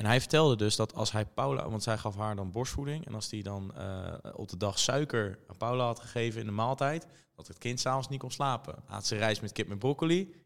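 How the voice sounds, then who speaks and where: An unremarkable speaking voice from a man at medium pitch, fairly quick in pace, with ordinary pitch variation and big swings in loudness. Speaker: podcast host. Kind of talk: casual interview.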